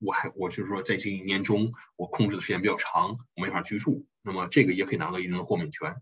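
A man at a very fast pace, with hardly any pauses. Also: fairly low pitch for a man, ordinary pitch variation. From China, Harbin. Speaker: tax accountant. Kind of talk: lecture. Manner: hesitant, many fillers.

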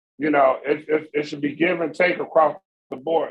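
With a fairly high pitch, a man talks at a moderate pace. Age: 50s. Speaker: podcast co-host. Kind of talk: casual chat.

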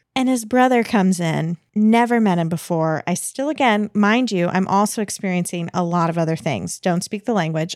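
A woman with an American accent and a normal speaking voice talks at medium pitch with ordinary pitch variation and hardly any pauses, in a very clean recording with a silent background and a dry, close sound with no echo. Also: moderate pace. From United States. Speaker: podcast guest. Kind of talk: storytelling in casual chat.

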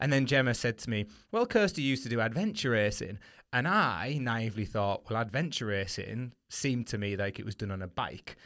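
Very fast and full of lively intonation, a man talks at a medium pitch with a northern English accent. The recording is very clean, with a silent background. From northern England. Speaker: podcast host and running coach. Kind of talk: casual interview chat. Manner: friendly, conversational.

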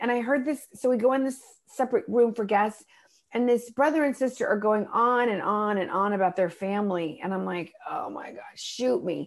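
A woman speaks at a moderate pace in a plain, everyday voice. Her pitch is fairly high and varies in an ordinary way. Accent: American. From Texas, Dallas and Austin. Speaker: stand-up comedian and motivational speaker. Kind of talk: casual interview chat.

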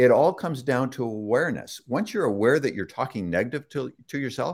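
A man speaks with a Canadian accent in a plain, everyday voice. His intonation is lively and his pace fairly quick. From Toronto, Canada. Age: 60s. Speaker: author and son of a famous speaker. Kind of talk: casual interview. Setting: live online broadcast.

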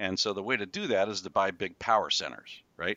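In an ordinary speaking voice, a man talks at a fairly quick pace with fairly low pitch and fairly even intonation. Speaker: retail real estate developer. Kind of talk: casual interview chat.

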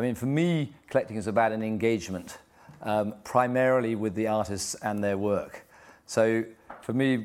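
A man with an English accent, fairly low in pitch, with ordinary pitch variation and a moderate pace. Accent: English (RP). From England. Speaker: art collector. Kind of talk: panel discussion. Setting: stage with audience.

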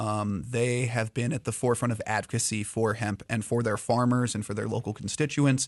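In a plain, everyday voice, a man talks at a fairly quick pace with medium pitch, fairly even intonation and hardly any pauses. The background is quiet. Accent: American. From Indiana. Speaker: hemp company representative. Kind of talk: casual chat.

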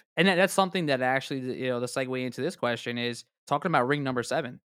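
The speaker is a man of medium pitch. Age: 30s. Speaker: sports podcast host. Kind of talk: casual chat.

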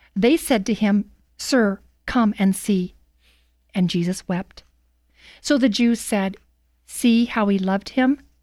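In a very clean recording with a silent background and a dry, close sound free of echo, a woman speaks at a very slow pace and a medium pitch, with ordinary pitch variation and long, frequent pauses. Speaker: scripture reader, radio commentator. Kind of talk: scripture reading aloud, dramatic narration. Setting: studio. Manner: solemn, measured, dramatic.

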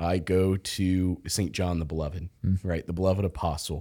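In a very clean recording with a silent background, a man with an American accent speaks in a very deep, low pitch and a dark, mellow tone. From Kansas, US Midwest. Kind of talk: casual chat.

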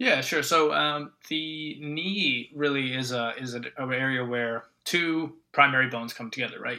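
Here a man speaks with a Canadian accent at a medium pitch. His tone is bright and sharp, with ordinary pitch variation. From Ontario, Canada. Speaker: doctor, medical consultant. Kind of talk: expert interview.

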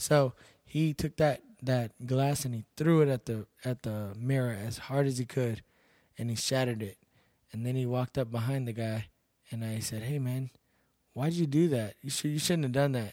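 On a very clean recording with a silent background, a man with an American accent speaks in a dark, mellow tone at a medium pitch and a moderate pace with fairly even intonation. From Texas, Seguin. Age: 30s. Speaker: bouncer and MMA fighter. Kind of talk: casual interview.

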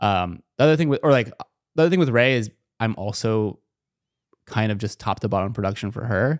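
With lively intonation and long, frequent pauses, a man in a Californian accent speaks at a fairly quick pace and medium pitch on a very clean recording with a silent background. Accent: Californian American English. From Southern California, Inland Empire. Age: 20s. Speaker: content producer and channel manager. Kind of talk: casual chat.

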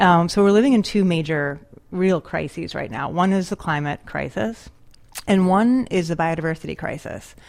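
In an unremarkable speaking voice, a woman with an American accent speaks at a moderate pace and fairly low pitch. The recording is very clean, with a silent background. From rural Western New York, US. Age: 40s. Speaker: conservation investment CEO. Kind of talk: interview. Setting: studio.

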